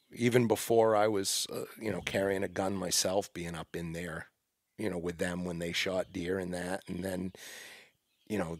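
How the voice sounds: A man talks at a moderate pace with a low pitch and fairly even intonation. The recording is very clean, with a silent background.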